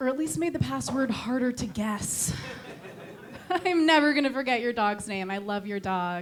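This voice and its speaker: A woman with a Connecticut accent, fairly high-pitched, at a moderate pace with very wide pitch swings, amid audible room echo and noticeable background noise. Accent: Connecticut accent, sounds condescending. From Connecticut, New England. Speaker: stand-up comedian. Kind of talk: stand-up. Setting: comedy club stage with audience. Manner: insincere-sounding, condescending tone; halting with fillers.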